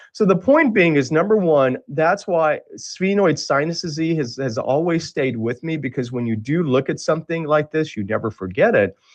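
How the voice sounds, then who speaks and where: Hardly pausing, a man with an American accent and a plain, everyday voice speaks at a moderate pace, his fairly high pitch rising and falling in lively intonation. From United States, Indian parents. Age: 60s. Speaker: radiologist. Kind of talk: lecture. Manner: conversational.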